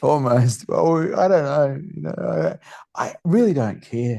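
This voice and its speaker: Lively intonation runs through a man's dark, mellow tone at a moderate pace. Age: 70s. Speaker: spiritual teacher. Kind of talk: interview. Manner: blunt.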